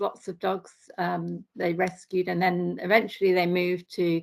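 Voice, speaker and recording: In an English Midlands accent, a woman talks at a fairly slow pace on a very clean recording with a silent background. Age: 60s. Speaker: accountant, vegan sanctuary volunteer. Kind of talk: podcast interview. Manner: hesitant, many fillers.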